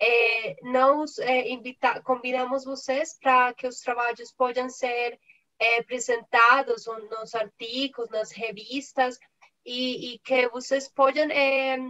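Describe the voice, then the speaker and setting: A bright, sharp tone with a non-native accent, flat monotone delivery and a very slow pace. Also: woman, high pitch for a woman. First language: not Portuguese (speaking Portuguese). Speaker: conference moderator and interpreter. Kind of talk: formal closing remarks. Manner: halting.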